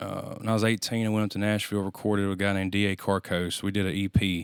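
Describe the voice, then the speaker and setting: Over a silent background in a very clean recording, a man with a Louisiana accent talks at a fairly quick pace in a flat monotone. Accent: Louisiana Southern US. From US South. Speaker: musician. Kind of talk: casual chat.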